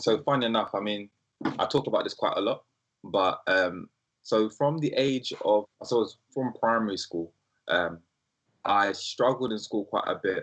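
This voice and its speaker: A man talks with a South London accent. His pace is moderate. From South London, England (Brixton). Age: 20s. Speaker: startup founder. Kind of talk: interview. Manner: casual with frequent fillers.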